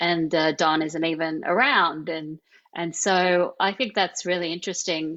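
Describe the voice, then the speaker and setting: In a strong Australian accent, a woman with a fairly low voice speaks at a fairly slow pace with fairly even intonation. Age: 40s. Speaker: film presenter and author. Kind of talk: podcast interview.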